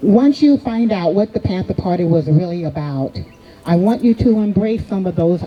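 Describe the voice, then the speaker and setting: Music plays in the background as a woman with an American accent speaks with lively intonation. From United States. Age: 70s. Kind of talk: speech at a celebration.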